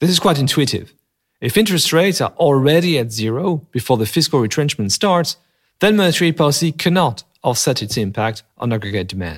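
Over a silent background in a very clean recording, a man with a French accent talks fairly quickly with very wide pitch swings. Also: fairly high pitch for a man. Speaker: economist podcast host. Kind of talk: scripted narration; casual chat. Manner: formal; hesitant with many filler sounds.

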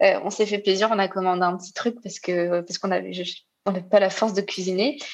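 Against a quiet background, a woman of medium pitch speaks at a moderate pace with ordinary pitch variation. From Réunion. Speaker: nurse. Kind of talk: testimony. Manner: halting.

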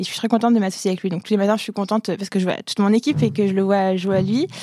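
A woman's dark, mellow voice with fairly even intonation comes through on a very clean recording with a silent background. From Algeria and France. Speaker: startup founder. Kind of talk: interview. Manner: fast.

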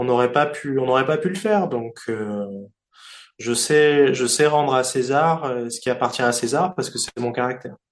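The man's pitch moves in an ordinary way as he talks at a moderate pace. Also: medium pitch for a man. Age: 40s. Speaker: sports event promoter. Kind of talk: interview. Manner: halting, frequent repetitions.

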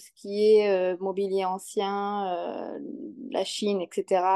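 In a dark, mellow tone, the speaker goes at a very slow pace over a quiet background. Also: woman. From Bordeaux, southwest France. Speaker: antique dealer and furniture restorer. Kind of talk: casual interview. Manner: halting, many fillers and repeats.

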